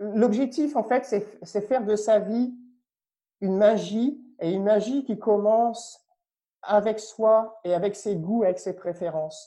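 Over a quiet background, a man with a high pitch and dark, mellow tone speaks at a very slow pace with ordinary pitch variation. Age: 30s. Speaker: spiritual coach and former finance executive. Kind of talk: casual interview. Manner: halting, with repetitions.

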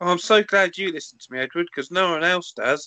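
This put-on character voice is whiny and nasal, pitched in the middle range. It races along at a very fast pace against a quiet background.

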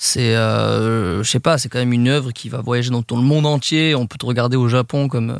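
A man with a normal speaking voice talks at medium pitch and a moderate pace, his intonation fairly even and hardly any pauses between words. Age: 20s. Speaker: film YouTuber. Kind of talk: casual chat.

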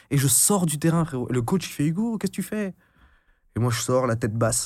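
A somewhat breathy man speaks at a fairly quick pace with lively intonation on a very clean recording with a silent background. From France, Brittany (Finistère, Brest). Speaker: entrepreneur and content creator. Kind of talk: casual interview chat.

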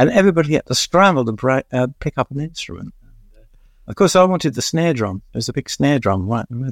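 In a London accent, a man speaks very fast with a fairly high voice and very wide pitch swings. The sound is dry and close with no echo, in a very clean recording with a silent background. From East London. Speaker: music journalist and author. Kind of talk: interview, reminiscing.

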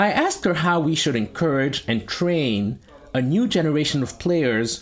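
A man talks fairly slowly at a fairly high pitch with lively intonation while noticeable background noise sits behind him. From Togo. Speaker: podcast host. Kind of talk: interview.

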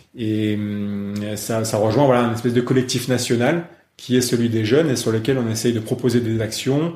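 Somewhat breathy, a man speaks at a moderate pace and medium pitch with ordinary pitch variation and audible room echo. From France, Lyon area. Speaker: national kayak coach. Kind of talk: interview. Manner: halting, many repetitions and fillers.

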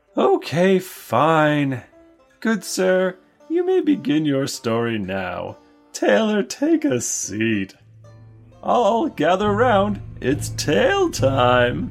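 The voice sits at a middle pitch and moves at a very slow pace. Faint music plays in the background. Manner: exasperated, pushy about gold.

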